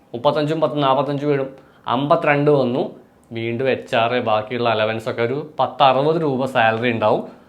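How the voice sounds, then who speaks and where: A normal speaking voice belongs to this man, whose fairly high pitch shows ordinary pitch variation. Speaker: exam coaching tutor. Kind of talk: tutorial; sales pitch.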